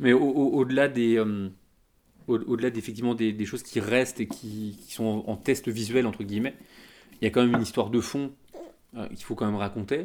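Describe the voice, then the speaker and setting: A man talks at a fairly quick pace and medium pitch, his intonation fairly even, with long, frequent pauses. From France. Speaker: geek culture website founder. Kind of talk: casual chat.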